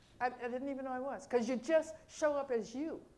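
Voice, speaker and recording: A woman talks at a fairly quick pace and a high pitch, with noticeable background noise. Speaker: minister. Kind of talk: sermon. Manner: fast; animated.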